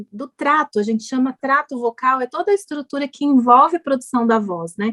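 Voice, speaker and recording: The woman's pitch is high, with ordinary variation. The sound is dry and close with no echo. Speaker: speech therapist. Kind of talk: TV health interview.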